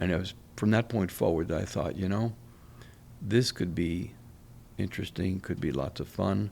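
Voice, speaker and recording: A man with a very deep, low pitch and a dark, mellow tone speaks with vocal fry. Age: 70s. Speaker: oral surgeon. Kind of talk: interview. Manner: halting.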